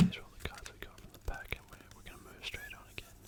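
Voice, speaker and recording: Whispering over noticeable background noise. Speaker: ASMR creator. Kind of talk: ASMR pack opening whisper. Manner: whispered.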